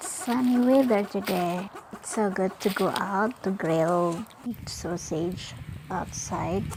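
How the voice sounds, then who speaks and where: Over noticeable background noise, a speaker with a non-native accent talks at a very slow pace with ordinary pitch variation. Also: woman, medium pitch for a woman. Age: 40s. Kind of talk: casual talk to camera. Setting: outdoors.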